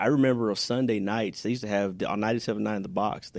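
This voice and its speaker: Over a quiet background, a man speaks at a very fast pace with a fairly low pitch and fairly even intonation. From Houston, Texas. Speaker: business owner. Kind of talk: casual chat.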